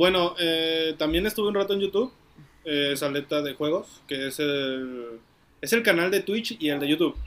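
A fairly high-pitched man at a moderate pace, with ordinary pitch variation and music in the background. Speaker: podcast co-host. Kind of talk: casual chat. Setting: outdoors.

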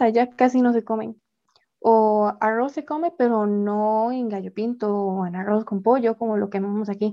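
Her voice fairly high and dark and mellow in tone, a woman speaks at a fairly slow pace with ordinary pitch variation. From Costa Rica. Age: 20s. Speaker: pianist and composer. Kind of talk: interview.

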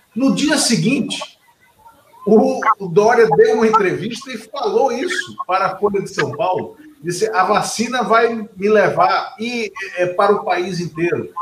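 Using a high pitch with ordinary variation, a man talks at a fairly slow pace. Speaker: political talk show host. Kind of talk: interview.

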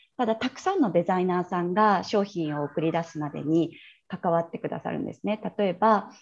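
In a quiet background, a woman with an ordinary speaking voice talks at a moderate pace and a fairly low pitch, her pitch varying in an ordinary way. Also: big swings in loudness. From China (Shanghai), Japanese returnee. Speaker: entrepreneur and branding coach. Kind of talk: interview. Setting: video call.

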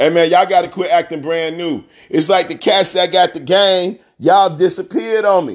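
Animated, high male voice at a moderate pace with ordinary pitch variation and a quiet background. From US Midwest, south side of Chicago. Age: 40s. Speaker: podcast host, former athlete. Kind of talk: motivational monologue. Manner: animated, repetitive emphatic delivery.

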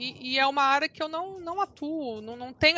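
Her voice raised and projected, a woman speaks at a moderate pace with a bright, sharp tone. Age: 40s. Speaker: lawyer and mother of a celiac child. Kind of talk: testimony interview.

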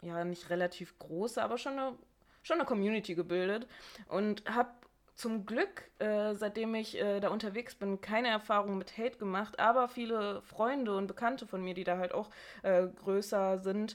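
This is an ordinary speaking voice. It moves at a moderate pace with ordinary pitch variation. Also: woman. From Bochum, Ruhr area, Germany. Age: 20s. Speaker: podcast co-host, teacher-training student. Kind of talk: casual chat.

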